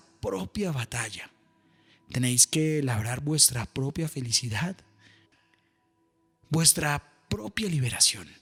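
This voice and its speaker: Music in the background behind a man with a fairly high pitch at a fairly slow pace. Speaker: voice-over announcer and meditation guide. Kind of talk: guided meditation reflection. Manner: slow, calm, patient.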